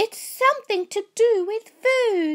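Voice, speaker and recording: A woman's squeaky, put-on character voice at an extremely high pitch, raised and projected, with lively intonation at a fairly slow pace, in a dry, close sound with no echo. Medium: read story. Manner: warm, cheerful.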